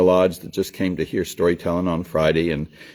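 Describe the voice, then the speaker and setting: A man speaks in a Southern US accent with a dark, mellow tone. His intonation is monotone and flat, and his pace is fairly quick. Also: very clean recording, silent background. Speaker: storyteller. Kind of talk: casual talk to camera. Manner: folksy, warm.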